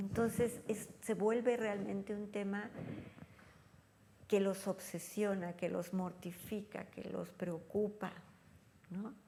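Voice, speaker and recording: Speaking very slowly with long, frequent pauses, a woman uses a medium-pitched voice and monotone, flat intonation. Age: 60s. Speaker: elder care expert. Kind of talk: interview. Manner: conversational.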